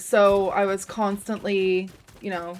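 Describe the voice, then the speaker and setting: A woman speaks at a medium pitch. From Canada, Toronto area, Ontario. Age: 30s. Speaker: gaming streamer. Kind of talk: casual live-stream chat.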